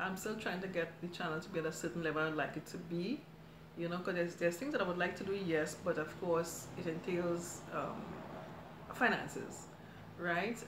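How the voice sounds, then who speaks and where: Audible room echo and noticeable background noise surround a woman whose pitch is fairly low. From Trinidad. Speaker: cooking YouTuber. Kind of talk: live stream chat. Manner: fast; chatty.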